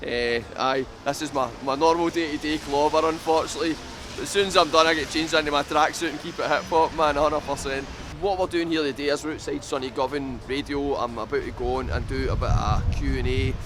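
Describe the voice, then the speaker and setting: A man with a Glaswegian accent and a fairly high pitch, fairly quick and fairly even in intonation, with noticeable background noise. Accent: Glaswegian Scottish. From Scotland. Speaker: rapper. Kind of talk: casual chat; interview. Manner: casual.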